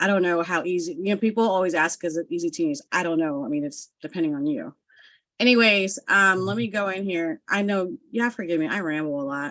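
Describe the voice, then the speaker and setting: A woman with an ordinary speaking voice speaks at a medium pitch and a fairly quick pace, with lively intonation against a quiet background. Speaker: graphic design tutor. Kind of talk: live-stream tutorial. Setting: live stream.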